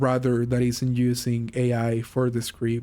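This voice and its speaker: A man with a Mexican accent speaks at a medium pitch in a dark, mellow tone. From Mexico. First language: Spanish. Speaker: vlogger. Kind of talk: casual monologue. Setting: gaming while recording, driving a truck game. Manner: slow. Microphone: poor microphone.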